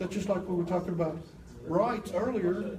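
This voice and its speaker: A man's animated tone, with audible room echo. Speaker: apologetics teacher. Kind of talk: lecture.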